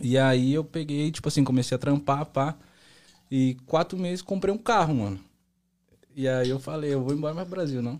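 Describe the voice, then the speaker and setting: A man's fairly high pitch at a moderate pace, with ordinary pitch variation and long, frequent pauses. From Brazil, São Paulo and Bahia. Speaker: singer-songwriter. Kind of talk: casual chat.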